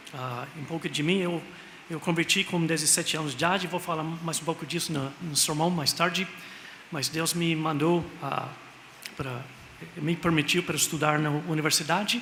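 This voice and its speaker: Over noticeable background noise, a man speaks at a moderate pace with long, frequent pauses. His pitch is fairly high and his intonation fairly even. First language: English (speaking Portuguese). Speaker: missionary pastor. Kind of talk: sermon. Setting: church. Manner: halting.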